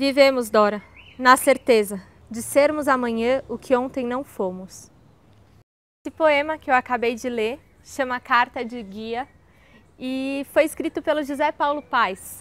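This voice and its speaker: With a Brazilian accent, a woman speaks at a fairly slow pace in a high pitch, her warm, enthusiastic tone showing ordinary pitch variation, big swings in loudness, and long, frequent pauses. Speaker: video creator reading poems. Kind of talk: poem reading, then casual chat about the poet. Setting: video channel, solo recording. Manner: casual, warm, enthusiastic. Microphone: lapel.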